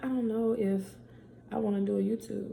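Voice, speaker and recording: Somewhat breathy and dark, mellow in tone, a woman speaks at a moderate pace amid audible room echo. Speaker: podcaster and YouTuber. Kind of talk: casual vlog talk.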